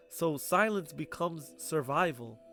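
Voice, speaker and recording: Music plays in the background as a man speaks. His pitch is fairly high and his intonation lively. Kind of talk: video essay narration.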